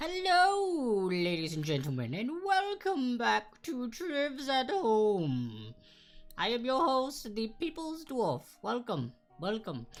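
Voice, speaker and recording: A put-on character voice, female-sounding and high-pitched, theatrical in tone, at a fairly slow pace with faint music in the background. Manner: put-on, welcoming, theatrical.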